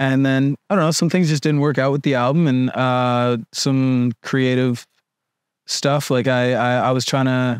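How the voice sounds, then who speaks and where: Recorded with a dry, close sound and no echo, a man speaks at medium pitch and a moderate pace in a monotone, flat intonation. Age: 20s. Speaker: musician. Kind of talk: casual chat. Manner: halting.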